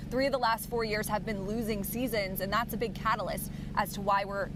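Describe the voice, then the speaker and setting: A woman talks at a fairly quick pace with fairly high pitch and fairly even intonation. Noticeable background noise runs under her voice. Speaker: sports broadcaster. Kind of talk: live co-hosting discussion.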